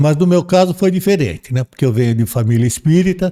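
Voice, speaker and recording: Lively intonation and a dark, mellow tone mark this man's voice at a moderate pace. The recording is very clean with a silent background, and the sound is dry and close with no echo. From Brazil, São Paulo. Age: 70s. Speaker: podcast guest. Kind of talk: casual interview testimony. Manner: halting, many repetitions.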